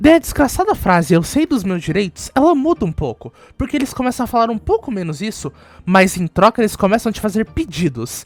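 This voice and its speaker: Speaking at a fairly quick pace, a woman uses a fairly high pitch, very wide pitch swings, an animated tone and vocal fry. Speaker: youtuber and bookstore worker. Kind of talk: casual storytelling vlog.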